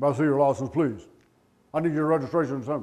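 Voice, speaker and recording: Very fast and robotic, a man's put-on character voice sits at a fairly high pitch. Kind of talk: formal, official. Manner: stiff, changed demeanor.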